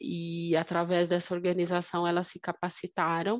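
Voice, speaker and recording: This woman's voice has a medium pitch, and she talks at a fairly slow pace. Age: 40s. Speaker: finance and innovation manager. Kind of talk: casual interview. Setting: remote call.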